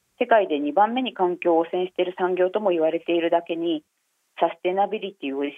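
A woman talks very fast at a fairly low pitch. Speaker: newspaper fashion journalist. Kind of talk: interview. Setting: phone call. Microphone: phone line.

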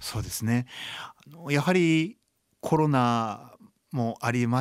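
In a very clean recording with a silent background, a man speaks at a medium pitch with lively intonation. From Japan, Chiba. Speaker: blind violinist and composer. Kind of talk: radio interview. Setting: studio.

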